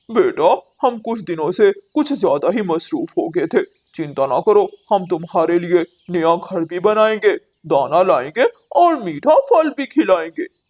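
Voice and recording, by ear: A man puts on a cartoonish character voice, pitched high and delivered at a moderate pace.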